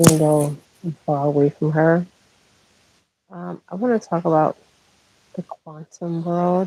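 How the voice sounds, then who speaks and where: A quiet woman speaks at a fairly slow pace in a fairly low, dark, mellow tone, with fairly even intonation, big swings in loudness and long, frequent pauses. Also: dry, close sound with no echo. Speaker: spiritual healer. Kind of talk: spiritual monologue livestream. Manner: quiet, talking low; halting with fillers.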